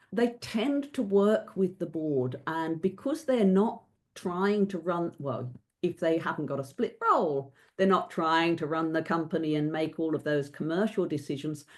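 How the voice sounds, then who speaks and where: With a normal speaking voice, a woman talks at a fairly slow pace in a fairly low pitch, her intonation lively against a quiet background. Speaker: company director and governance advisor. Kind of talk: webinar panel discussion.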